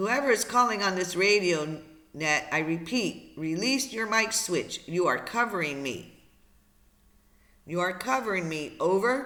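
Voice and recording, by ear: A man's put-on character voice, high in pitch, with a bright, sharp tone, lively intonation, a fairly slow pace and audible room echo.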